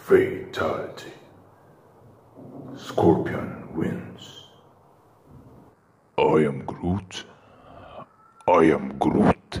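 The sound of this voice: A man speaks in a raspy, put-on character voice. His pace is very slow, with long, frequent pauses.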